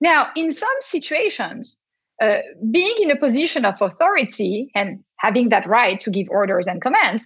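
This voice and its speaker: A high-pitched woman with a French accent speaks with very wide pitch swings. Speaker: professor. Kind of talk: casual chat.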